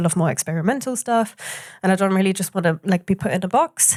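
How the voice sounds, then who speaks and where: A woman talks at a very fast pace with a medium pitch and ordinary pitch variation. The sound is dry and close, with no echo. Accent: German. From Germany, Hamburg. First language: German. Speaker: booking agent. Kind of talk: panel interview. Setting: café workshop with audience.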